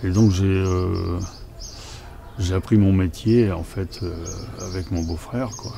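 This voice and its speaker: Amid noticeable background noise and audible room echo, a man with a very deep, low pitch talks very slowly with fairly even intonation and long, frequent pauses. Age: 60s. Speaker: retired farmer. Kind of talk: interview testimony. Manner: hesitant, many fillers.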